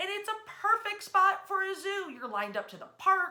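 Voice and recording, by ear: A woman's extremely high pitch with big pitch swings, a bright, sharp tone and a moderate pace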